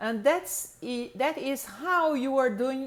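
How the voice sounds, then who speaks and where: Speaking with a Brazilian accent, a woman uses a high pitch and a very slow pace. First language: Portuguese. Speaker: English pronunciation teacher. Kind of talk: lecture. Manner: halting, many fillers.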